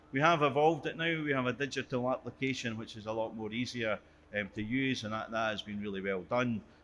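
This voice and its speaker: With a Scottish accent, a man of medium pitch talks very fast, using ordinary pitch variation. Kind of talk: conference presentation.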